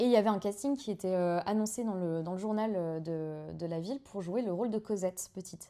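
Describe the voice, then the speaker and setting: A woman with a dark, mellow tone talks at a fairly quick pace with hardly any pauses, her medium pitch showing ordinary variation. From Belgium (Waterloo). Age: 20s. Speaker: actress. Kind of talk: casual chat. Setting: live stream on a couch with two hosts.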